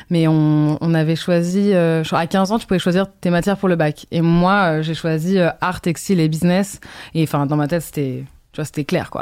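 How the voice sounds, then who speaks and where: Her speech runs fairly quickly. The woman keeps her intonation fairly level. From France and Brazil, partly raised in London. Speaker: fashion designer and content creator. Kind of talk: casual interview. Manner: halting.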